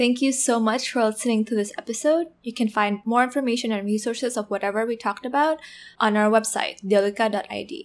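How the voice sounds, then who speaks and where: Talking at a very fast pace with an Indonesian accent, the speaker is heard on a very clean recording against a silent background. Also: woman, fairly high pitch for a woman, ordinary pitch variation. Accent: Indonesian, international-school English. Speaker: podcast co-host. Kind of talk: casual chat.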